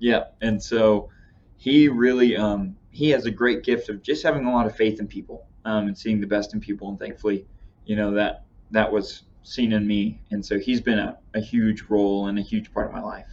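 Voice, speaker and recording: A man's fairly low voice keeps fairly even intonation as he talks at a moderate speed. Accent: Texas. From Texas Panhandle. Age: young. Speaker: young church member. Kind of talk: casual chat.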